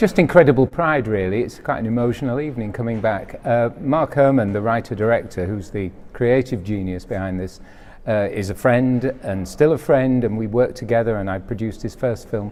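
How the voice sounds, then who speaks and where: Speaking in a Yorkshire accent, the voice moves at a fairly quick pace with ordinary pitch variation. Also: man, medium pitch for a man. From West Yorkshire, Bradford. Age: 60s. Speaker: film producer. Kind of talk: interview. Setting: film festival event.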